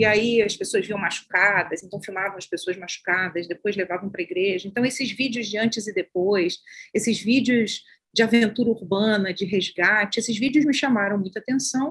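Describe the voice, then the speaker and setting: Using an ordinary speaking voice, a woman talks at a fairly quick pace in a medium pitch with ordinary pitch variation. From Baixada Fluminense, Rio de Janeiro, Brazil. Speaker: social sciences professor and researcher. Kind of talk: interview.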